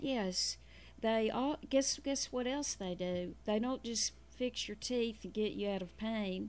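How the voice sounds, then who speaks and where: A woman's fairly high voice at a very slow pace, on a very clean recording with a silent background. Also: ordinary pitch variation. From Arkansas. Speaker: radio segment contributor. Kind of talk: reading good news stories on radio. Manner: animated.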